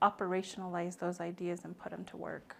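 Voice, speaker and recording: This soft-spoken voice has an American accent and a moderate pace. The recording is very clean, with a silent background. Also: woman. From Navajo Nation, US Southwest. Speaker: nonprofit founder and maternal health advocate. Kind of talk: podcast interview.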